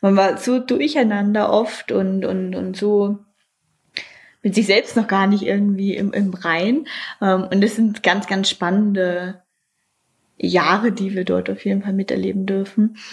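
Breathing somewhat audibly, a woman speaks at a fairly slow pace with fairly even intonation. Long, frequent pauses break up her speech. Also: medium pitch for a woman. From northeastern Germany, Mecklenburg Lake District. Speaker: hotel director. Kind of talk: interview monologue.

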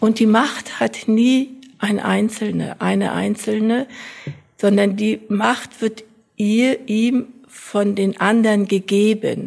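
A woman's fairly high, monotone voice, very slow and flat, with very even loudness. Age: 80s+. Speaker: retired sociology professor. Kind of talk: interview.

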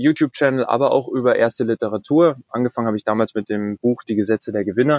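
This man has a normal speaking voice with a medium pitch and ordinary pitch variation. The sound is dry and close, without echo. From Bavaria, Germany. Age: 20s. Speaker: corporate intrapreneur. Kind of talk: interview.

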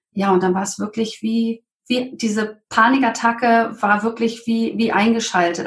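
Fairly even intonation in a somewhat breathy voice. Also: woman. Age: 40s. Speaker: green business networker, interview guest. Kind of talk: personal testimony in interview. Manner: hesitant, with fillers.

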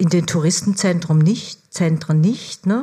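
A somewhat breathy woman with a dark, mellow tone and fairly low pitch is heard in a very clean recording over a silent background. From Germany. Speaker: foreign correspondent. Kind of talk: stage interview. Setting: stage with audience.

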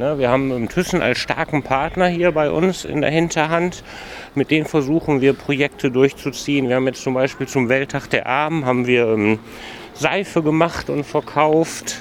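This man's fairly high pitch carries ordinary pitch variation at a moderate pace, with noticeable background noise behind him. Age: 40s. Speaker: youth employment project manager, trained hotel professional. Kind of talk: casual interview on a walk. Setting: outdoors walking through a city district.

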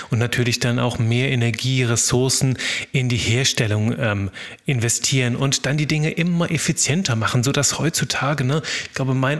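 A man talks at a medium pitch and a moderate pace with ordinary pitch variation. Noticeable background noise can be heard. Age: 30s. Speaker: podcast host. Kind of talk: solo podcast monologue. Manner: unscripted, spontaneous.

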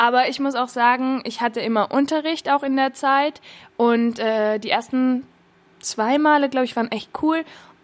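Against a silent background on a very clean recording, a woman speaks at a high pitch. Her pace is moderate, and her pitch varies in an ordinary way. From Austria, Innsbruck (Tyrol). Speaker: acting student. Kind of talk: casual chat.

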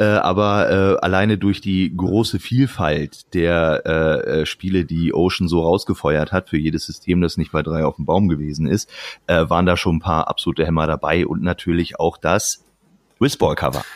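A man speaks with a very deep, low pitch and very even loudness. The sound is dry and close, with no echo. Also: ordinary pitch variation, moderate pace. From Lower Saxony, Germany. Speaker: former games magazine editor. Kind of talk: casual chat. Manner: relaxed.

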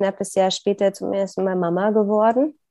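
This woman's voice has a dark, mellow tone and a medium pitch. She talks at a moderate pace. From Saxony, Upper Lusatia (eastern Germany). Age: 40s. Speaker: process consultant and coach. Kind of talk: personal interview about grief.

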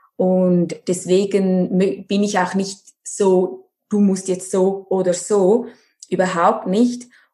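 A woman's somewhat breathy, dark, mellow voice at medium pitch, very slow and monotone, flat in intonation, with very even loudness. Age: 30s. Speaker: nutrition and life coach. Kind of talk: interview.

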